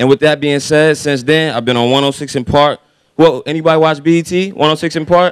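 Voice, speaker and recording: A man speaks with an American accent in an ordinary speaking voice. His pitch is fairly high, his intonation fairly even and his pace fairly quick. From Raleigh, North Carolina. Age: 20s. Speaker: rapper. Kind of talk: motivational speech. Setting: stage with audience.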